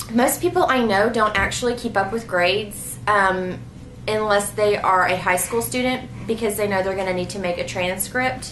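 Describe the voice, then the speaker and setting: Noticeable background noise and audible room echo surround a woman speaking at a moderate pace, medium in pitch with ordinary pitch variation. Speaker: homeschooling mom vlogger. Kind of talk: casual Q&A vlog.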